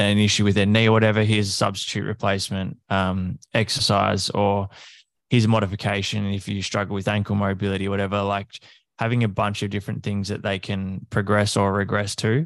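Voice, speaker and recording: Against a quiet background, a man with an Australian accent talks at a fairly quick pace, his fairly low voice held in monotone, flat intonation. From Australia, country Victoria. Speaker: fitness coach. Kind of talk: casual interview chat.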